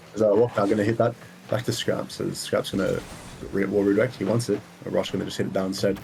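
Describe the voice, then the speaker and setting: A man with an American accent talks at a very fast pace in a fairly low, somewhat breathy voice. His intonation is fairly even. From Israel. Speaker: esports caster. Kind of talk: live commentary.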